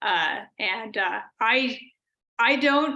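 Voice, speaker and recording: A woman with an American accent and a bright, sharp tone. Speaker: computer science professor giving a keynote. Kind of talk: lecture. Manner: trying to speak slowly.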